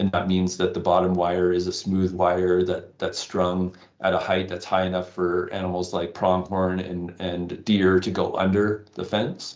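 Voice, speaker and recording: Very deep and low, a man's voice carries a slight Canadian accent with monotone, flat intonation. He goes at a fairly slow pace with hardly any pauses. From Canada. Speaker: wildlife conservationist. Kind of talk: interview. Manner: halting, many fillers.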